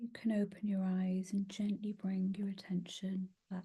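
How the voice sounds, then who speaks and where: Somewhat breathy, with a dark, mellow tone, a woman talks at a moderate pace with monotone, flat intonation. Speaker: meditation guide. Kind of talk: guided meditation. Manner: soft-spoken.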